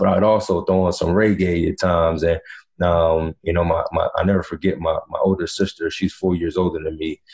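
The speaker has an American accent and keeps a moderate pace. The background is quiet. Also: man. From North Carolina. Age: 30s. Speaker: basketball coach. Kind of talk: casual chat.

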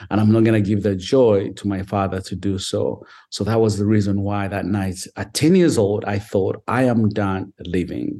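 A man talks with a dark, mellow tone and hardly any pauses. The background is quiet. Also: fairly low pitch for a man, fairly even intonation, moderate pace. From Uganda. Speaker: author and foster parent. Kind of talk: interview, personal life story.

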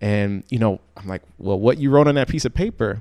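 With an American accent, a man with an unremarkable speaking voice talks fairly quickly in a fairly low pitch, using lively intonation. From Chicago South Suburbs. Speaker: entrepreneur and author. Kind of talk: interview.

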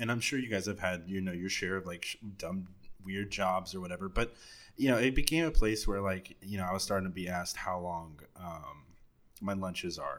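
Recorded very cleanly over a silent background, a man talks with an American accent at a fairly quick pace. His pitch varies in an ordinary way. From Texas, Dallas. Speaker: podcaster. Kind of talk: casual chat.

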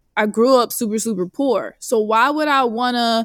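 A woman's plain, everyday voice, fairly high in pitch, with an American accent, at a moderate pace, in a very clean recording with a silent background. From Northern California. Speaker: certified financial planner. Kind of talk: casual interview.

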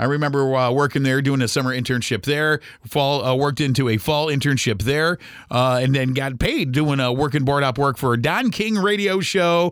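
A man with a Midwestern US accent speaks at a fairly quick pace in a fairly high pitch. His pitch variation is ordinary and his loudness very even. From Ohio (Toledo). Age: 40s. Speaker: radio host. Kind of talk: casual monologue. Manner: hesitant with many fillers.

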